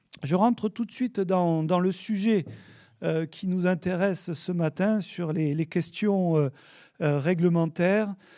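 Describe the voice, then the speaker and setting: Over a very clean recording with a silent background, a man with a southern French accent and a high pitch talks at a very slow pace in a dark, mellow tone with ordinary pitch variation. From southern France, south of the Loire. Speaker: oenologist and wine regulation expert. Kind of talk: conference talk. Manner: hesitant, many fillers.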